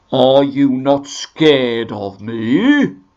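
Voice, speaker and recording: The voice sits at a medium pitch. It is a man's put-on character voice. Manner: curious, hesitant.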